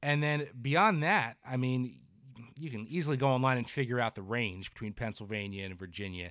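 Speaking with a New Jersey accent, a man at medium pitch uses lively intonation at a moderate pace in a very clean recording with a silent background. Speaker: fishing editor and podcast host. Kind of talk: casual chat.

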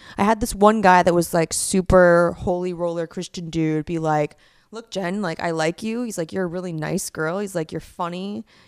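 This woman has an unremarkable speaking voice, fairly low in pitch with ordinary pitch variation, talking at a fairly quick pace in a dry, close sound with no echo on a very clean recording with a silent background. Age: 30s. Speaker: stand-up comedian. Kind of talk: casual chat.

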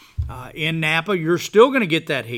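With an American accent, a man speaks at a high pitch with lively intonation. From Texas (from age five), early years in Boston. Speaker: winery owner. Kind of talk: interview. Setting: on location at the vineyard. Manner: repetitive, halting restarts.

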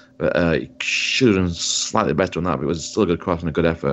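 Speaking at a very fast pace, a man talks with a Yorkshire accent. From Yorkshire, England. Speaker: podcast co-host, football fan. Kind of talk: casual chat, sports podcast.

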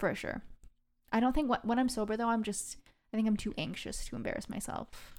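A woman with a General American accent and vocal fry speaks at a fairly quick pace. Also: fairly even intonation. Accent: general American, dropped her British. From England. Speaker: guest. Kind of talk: casual chat.

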